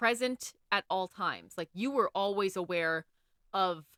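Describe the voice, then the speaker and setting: In a dry, close sound with no echo, a woman with an American accent speaks in a bright, sharp tone. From United States. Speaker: podcast co-host. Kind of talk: casual chat.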